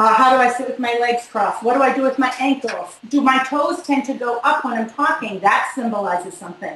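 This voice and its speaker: A woman with a Boston accent talks at a fairly quick pace and a high pitch, using ordinary pitch variation. She hardly pauses, and there is noticeable background noise. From Boston, US. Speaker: body language expert. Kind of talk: interview. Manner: fast.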